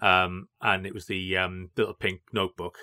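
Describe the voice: This man has a low voice with a bright, sharp tone and little pitch movement. He talks at a moderate pace.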